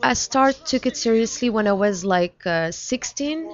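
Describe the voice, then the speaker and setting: A woman with a French accent speaks at a moderate pace in a high pitch with lively intonation over noticeable background noise. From France (Paris). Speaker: musician. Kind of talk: interview. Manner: halting.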